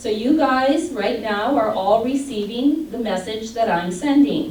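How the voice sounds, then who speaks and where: With an American accent, a woman speaks at a fairly slow pace in a fairly high pitch with lively intonation, against audible room echo and noticeable background noise. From Michigan. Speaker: audiologist. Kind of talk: lecture.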